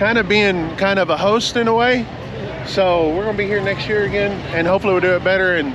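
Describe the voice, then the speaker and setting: A man with a high pitch speaks very fast in an American accent, with fairly even intonation and very even loudness. The recording has noticeable background noise and audible room echo. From Texas. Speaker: trucking vlogger. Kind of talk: casual vlog chat.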